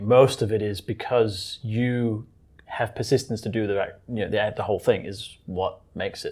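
On a very clean recording with a silent background, a man with a somewhat breathy voice speaks at a moderate pace in a medium pitch, his intonation monotone and flat. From Denmark. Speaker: software developer and tech trainer. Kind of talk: casual interview.

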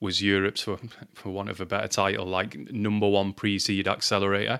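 On a very clean recording with a silent background, a man with a Lancashire accent talks at a fairly quick pace and a fairly low pitch. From Lancashire, northern England. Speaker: marketing executive and podcast co-host. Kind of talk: casual chat.

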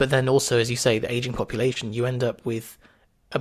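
With a British accent, a man talks at a fairly quick pace and medium pitch. His intonation is monotone and flat. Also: very clean recording, silent background. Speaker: former doctor and fitness entrepreneur. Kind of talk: casual interview chat.

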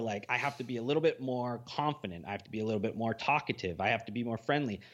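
With a plain, everyday voice, a man speaks at a medium pitch with ordinary pitch variation over a quiet background. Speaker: podcast host. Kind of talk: casual chat.

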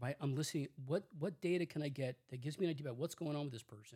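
Very fast and somewhat breathy, a man with a dark, mellow tone and a fairly high pitch talks with ordinary pitch variation. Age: 60s. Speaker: psychologist. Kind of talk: interview.

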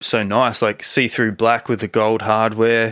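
A man of medium pitch with a normal speaking voice at a moderate pace. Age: 30s. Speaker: podcast host. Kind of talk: casual chat. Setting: video call.

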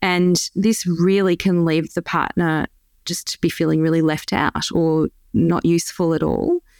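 Speaking fairly slowly at a fairly low pitch, a woman with an Australian accent keeps her intonation flat and monotone. The recording is very clean with a silent background and a dry, close sound with no echo. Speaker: dietitian and lactation consultant. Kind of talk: interview.

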